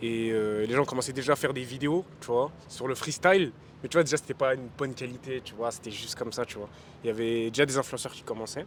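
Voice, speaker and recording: A medium-pitched man at a very fast pace, with big swings in loudness and noticeable background noise. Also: ordinary pitch variation. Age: young. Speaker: rapper. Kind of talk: casual interview. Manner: casual, filler-heavy.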